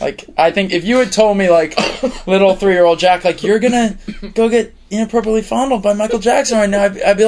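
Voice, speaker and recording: There is noticeable background noise. Through it, a man talks with an American accent. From Tucson, Arizona. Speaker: composer and musician. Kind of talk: casual interview.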